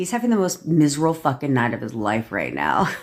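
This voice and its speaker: A man's raspy, put-on character voice, fairly high in pitch, at a very fast pace. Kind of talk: casual, profane. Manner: gloating, laughing while speaking.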